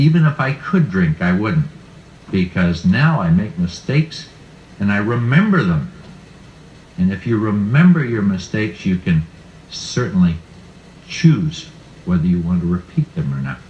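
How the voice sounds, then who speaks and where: A man speaks with an American accent at a fairly low pitch and a moderate pace. His pitch swings very widely, and there is noticeable background noise. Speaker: retired banker telling his faith story. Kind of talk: testimony. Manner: halting.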